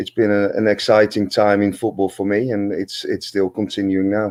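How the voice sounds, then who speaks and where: In a Dutch accent, the speaker talks at a moderate pace with monotone, flat intonation, the sound dry and close with no echo and the background quiet. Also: man. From Netherlands. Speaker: football manager and former pro player. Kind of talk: interview. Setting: live stream.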